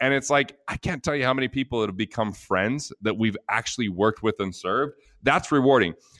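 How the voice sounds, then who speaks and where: A man's medium-pitched voice with ordinary pitch variation, in a dry, close sound with no echo. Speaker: author and financial advisor. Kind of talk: interview, casual business talk. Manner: fast talker, but articulate.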